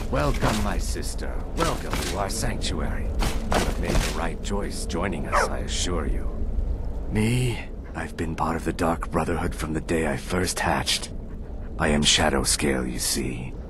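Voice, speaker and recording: A man performs in a put-on character voice. Loud background noise runs underneath. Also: moderate pace. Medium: machinima.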